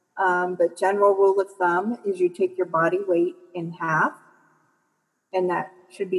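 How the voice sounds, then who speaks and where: Here is an ordinary speaking voice from a woman with an American accent. She speaks at a fairly slow pace in a medium pitch. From Michigan, US Midwest. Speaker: massage therapist and health coach. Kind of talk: interview conversation.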